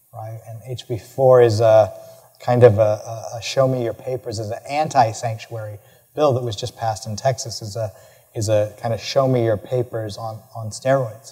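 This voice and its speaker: This man's medium-pitched voice has a dark, mellow tone and is somewhat breathy, with fairly even intonation. His volume swings widely. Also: moderate pace. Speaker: professor of education. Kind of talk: lecture Q&A answer. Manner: halting, many fillers and repetitions.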